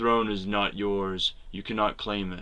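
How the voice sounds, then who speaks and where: In a raspy, hissing put-on character voice, a man speaks at a fairly low pitch and a moderate pace. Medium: read story. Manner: mocking, menacing.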